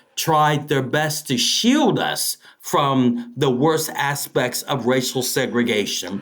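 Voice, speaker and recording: A man with an American accent speaks at a very slow pace. His pitch is fairly high, and there is noticeable background noise. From East Austin, Texas. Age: 60s. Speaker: local historian and tour guide. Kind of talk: interview. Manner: halting, many repetitions.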